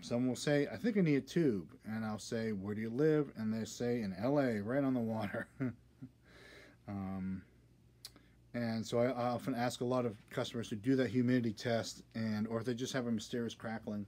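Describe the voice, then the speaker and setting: Pitch varies in an ordinary way over a dark, mellow tone. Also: man, moderate pace. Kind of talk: tutorial. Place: workshop. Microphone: phone near.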